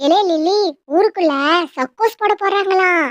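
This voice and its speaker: A woman speaks in a squeaky, cartoonish character voice with an extremely high pitch at a fairly slow pace. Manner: mocking, nosy.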